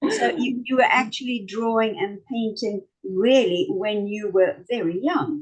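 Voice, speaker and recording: In a strong South African accent, the somewhat breathy voice moves at a fairly slow pace with lively intonation and hardly any pauses. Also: woman, fairly high pitch for a woman. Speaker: talk show host. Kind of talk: casual interview.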